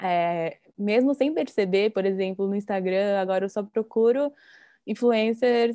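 A woman with an unremarkable speaking voice, fairly slow pace and ordinary pitch variation, quiet background. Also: medium pitch for a woman. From Brazil. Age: 20s. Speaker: Instagram creator living abroad. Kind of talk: casual chat.

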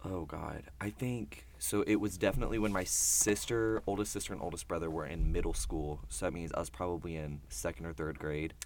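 With vocal fry and a very deep, low pitch, a man speaks at a fairly quick pace with lively intonation and hardly any pauses. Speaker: college student. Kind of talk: casual chat. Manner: quiet; animated.

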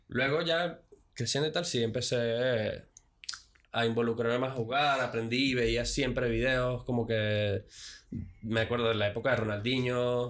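A man's plain, everyday voice at medium pitch, fairly slow, with fairly even intonation and very even loudness in a very clean recording with a silent background. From Venezuela. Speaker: podcast guest. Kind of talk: casual chat. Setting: studio.

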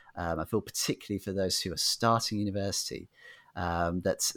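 Monotone and flat, a man's fairly low voice moves at a fairly quick pace. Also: very clean recording, silent background. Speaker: podcast host. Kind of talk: casual interview.

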